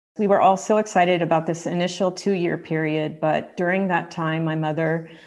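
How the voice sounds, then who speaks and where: A woman speaks in a normal speaking voice, fairly low in pitch and fairly even in intonation. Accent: American. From US. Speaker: author and editor. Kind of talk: interview.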